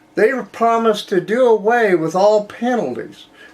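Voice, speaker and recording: In a US Midwestern accent, a man speaks at a fairly slow pace with a high pitch. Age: 70s. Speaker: political commentary show host. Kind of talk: political commentary monologue. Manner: conversational, with repeated false starts.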